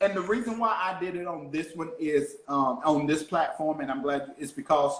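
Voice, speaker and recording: A man's fairly high voice with ordinary pitch variation, in a Southern US accent. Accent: country, Southern drawl. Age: young. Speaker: motivational speaker and podcast host. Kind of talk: casual chat.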